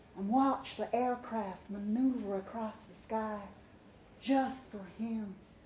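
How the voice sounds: Reading done in a natural voice.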